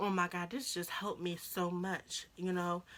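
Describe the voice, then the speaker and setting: A woman's bright, sharp voice sits at a medium pitch. She speaks at a fairly slow pace with fairly even intonation. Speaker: YouTuber sharing personal stories. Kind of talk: casual storytime vlog. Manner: rambling, chatty.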